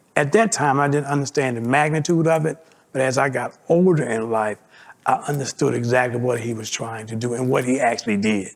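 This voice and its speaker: A man speaks in an unremarkable speaking voice at a medium pitch. His pace is fairly quick and his pitch variation ordinary. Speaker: community resident. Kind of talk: personal testimony interview.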